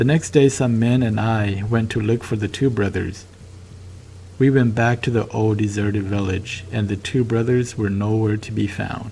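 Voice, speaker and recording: In a Southeast Asian accent, a man speaks at a moderate pace with fairly low pitch and fairly even intonation. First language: Hmong. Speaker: storyteller. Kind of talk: casual chat; first-person story narration. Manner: halting.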